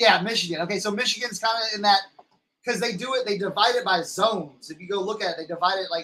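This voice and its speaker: A man talks at a very fast pace in a raised, projected voice. His pitch sits high. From Texas. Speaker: reseller livestream host. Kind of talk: casual livestream chat. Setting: live stream. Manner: halting, many repetitions.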